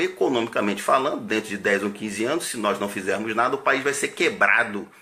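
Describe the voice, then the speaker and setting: Very wide pitch swings mark this man's speech, delivered in a bright, sharp tone. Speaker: army officer. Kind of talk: political monologue.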